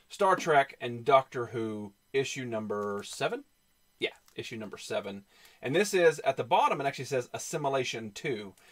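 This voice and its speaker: In a put-on character voice, a man drawls at a moderate pace with a medium pitch. The intonation is lively. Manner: vowels drawled, Trek sounds like Track.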